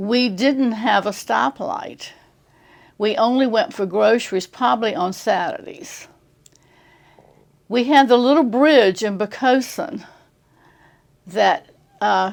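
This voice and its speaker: Very slow and broken by long, frequent pauses, a woman's voice has a fairly high pitch, vocal fry, and lively intonation, with an American accent. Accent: Virginia accent with local island drawl. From Tidewater Virginia, Poquoson. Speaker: retirement community resident. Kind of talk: casual interview.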